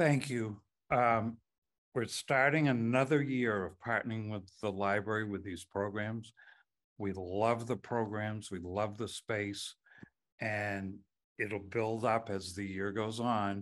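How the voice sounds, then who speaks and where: Against a quiet background, a man with a fairly low pitch speaks at a very slow pace. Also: fairly even intonation. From Maine, Rockland. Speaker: historical society member. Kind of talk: event introduction. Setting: library event with audience. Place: meeting room. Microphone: podium.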